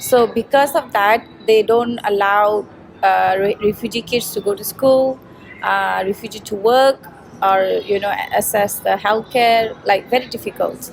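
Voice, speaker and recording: Over noticeable background noise, a woman with a fairly high pitch speaks at a fairly slow pace with fairly even intonation. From Myanmar, raised in Malaysia. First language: Rohingya / Burmese. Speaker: refugee advocate. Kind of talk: interview. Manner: hesitant, many fillers.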